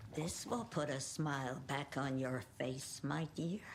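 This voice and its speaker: A put-on character voice moves at a fairly slow pace with very even loudness. Background noise is clearly heard. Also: woman, very deep, low pitch for a woman. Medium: video game. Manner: dotty, sweet.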